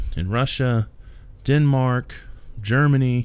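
This man's voice sits at a medium pitch. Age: 40s. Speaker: pastor and podcast host. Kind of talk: solo podcast monologue, preaching.

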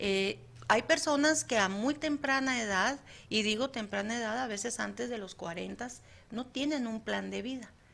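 A woman with an unremarkable speaking voice, her pitch fairly high, her pace moderate. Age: 50s. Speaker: psychologist, radio presenter. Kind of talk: casual chat. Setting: studio.

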